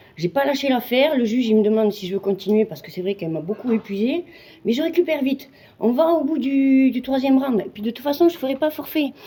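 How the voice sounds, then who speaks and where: A woman's high-pitched voice at a very fast pace, with lively intonation, big swings in loudness and noticeable background noise. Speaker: amateur Muay Thai fighter. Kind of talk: casual vlog monologue.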